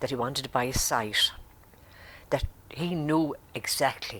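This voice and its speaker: In an Irish accent, a woman with a very deep, low voice speaks at a moderate pace with ordinary pitch variation and long, frequent pauses. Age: 80s+. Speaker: grandmother. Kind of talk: interview testimony.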